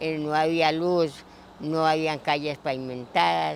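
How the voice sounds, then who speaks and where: Fairly even intonation at a very slow pace. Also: man. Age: 60s. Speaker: longtime local resident. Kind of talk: oral history interview.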